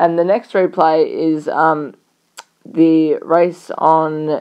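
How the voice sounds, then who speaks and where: A woman with an Australian accent speaks at a fairly low pitch with fairly even intonation. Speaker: horse racing tipster. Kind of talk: racing preview commentary.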